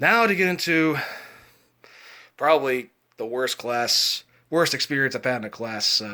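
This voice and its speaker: A man's medium-pitched voice, bright and sharp in tone, with lively intonation. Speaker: vlogger. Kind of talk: casual vlog monologue. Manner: fast; rambling, halting.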